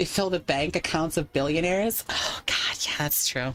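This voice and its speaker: A woman speaks loudly in a fairly low pitch with an animated tone. Her pace is moderate. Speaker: VR streamer. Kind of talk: casual livestream chat. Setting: live stream. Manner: animated, rambling with restarts.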